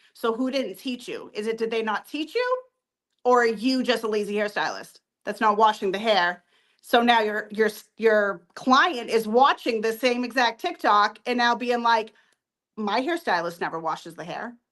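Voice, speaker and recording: This woman talks at a moderate pace in a fairly high voice, with ordinary pitch variation. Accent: Boston. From Boston. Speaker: hair extension business owner. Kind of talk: interview. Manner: animated.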